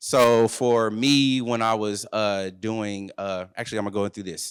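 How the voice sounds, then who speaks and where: Speaking at a moderate pace, a man uses an energetic tone at a medium pitch. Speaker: workshop presenter and entrepreneur. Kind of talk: presentation to an audience. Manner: casual, energetic.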